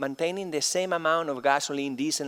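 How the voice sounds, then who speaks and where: A man talks with a Spanish accent. The sound is dry and close with no echo. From Spain. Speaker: chemistry professor. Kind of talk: conference keynote lecture. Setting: conference stage with audience.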